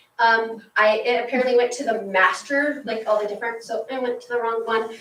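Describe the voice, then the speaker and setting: A high-pitched woman at a moderate pace, her intonation fairly even, with audible room echo. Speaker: teacher and student group advisor. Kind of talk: report to school board.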